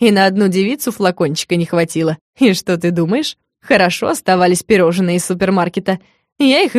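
Against a quiet background, the text is read aloud in a natural voice with ordinary variation in pitch.

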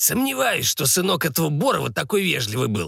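Putting on a character voice, a man speaks at a fairly high pitch with very wide pitch swings, sounding raspy and creaky with vocal fry and a slightly husky edge. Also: fairly quick pace.

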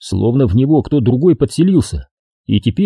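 With a quiet background, the speaker uses a natural reading voice full of lively intonation.

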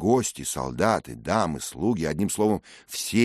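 The speaker is plain reading aloud with lively intonation.

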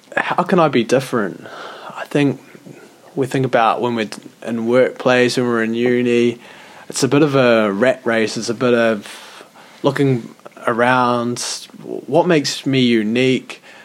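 A man with a New Zealand accent at medium pitch, fairly slow pace and long, frequent pauses, over noticeable background noise. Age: 20s. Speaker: podcast co-host. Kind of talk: casual chat.

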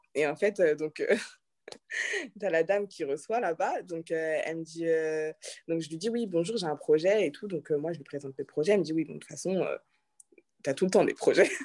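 Speech moves at a moderate pace, broken by long, frequent pauses. Loudness swings widely, while pitch varies in an ordinary way. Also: woman, fairly low pitch for a woman. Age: 20s. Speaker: restaurant owner. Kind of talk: interview. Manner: hesitant, many fillers.

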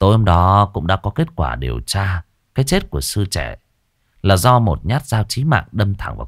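The intonation is lively as someone reads aloud in a natural voice over a quiet background.

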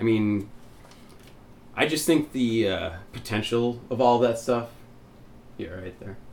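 Amid audible room echo, a man at a medium pitch talks at a fairly slow pace with long, frequent pauses, ordinary pitch variation and big swings in loudness. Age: 30s. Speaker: podcast co-host. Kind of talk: casual chat.

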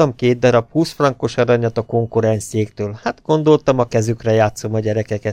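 An unforced reading voice, pitch shifting in an ordinary way

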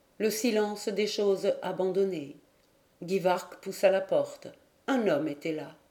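Lively intonation over plain reading aloud

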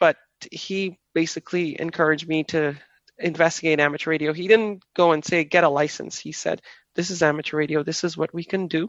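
Monotone, flat intonation runs at a fairly quick pace. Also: woman. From Trinidad. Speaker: ham radio operator and club director. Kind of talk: interview.

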